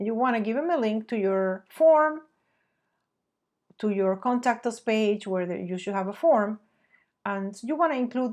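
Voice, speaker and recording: A woman's fairly high voice with a non-native accent. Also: quiet background. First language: not English. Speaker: marketing agency president. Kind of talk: webinar presentation.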